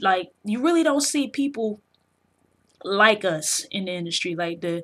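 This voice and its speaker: Against a quiet background, a woman's bright, sharp tone shows ordinary pitch variation. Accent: South Carolina. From South Carolina. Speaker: video game journalist and vlogger. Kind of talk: casual vlog commentary. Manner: casual, slang-heavy with fillers.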